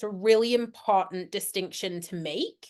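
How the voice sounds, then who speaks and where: A woman speaks with a British accent at medium pitch and a fairly slow pace. Her intonation is fairly even, and the background is quiet. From UK. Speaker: veterinarian. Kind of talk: lecture. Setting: webinar.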